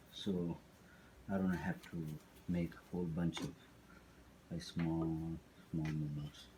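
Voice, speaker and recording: A man speaks with a very deep, low pitch and a dark, mellow tone. His intonation is monotone and flat, broken by long, frequent pauses. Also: fairly slow pace. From Tibet. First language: Tibetan. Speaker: cooking instructor. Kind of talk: cooking tutorial. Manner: halting, with many fillers.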